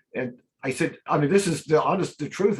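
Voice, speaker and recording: The man's voice comes across as somewhat breathy. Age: 60s. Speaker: real estate team leader. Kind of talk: webinar panel discussion.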